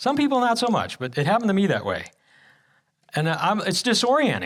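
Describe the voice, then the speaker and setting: A man talking at a very fast pace, high-pitched with very wide pitch swings, with audible room echo. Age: 60s. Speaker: guest speaker. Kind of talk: sermon testimony. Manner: halting.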